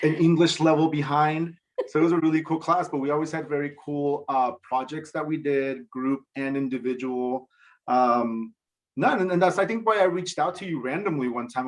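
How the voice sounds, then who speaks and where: A man with a Spanish accent talks at a fairly quick pace and a fairly high pitch. His pitch varies in an ordinary way over a quiet background. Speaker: TV director. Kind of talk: casual interview.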